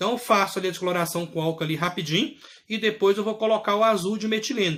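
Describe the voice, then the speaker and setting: A man with a high-pitched voice talks at a very fast pace, his tone animated and his pitch rising and falling in an ordinary way. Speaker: clinical lab technology teacher. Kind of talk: video lecture. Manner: casual, animated.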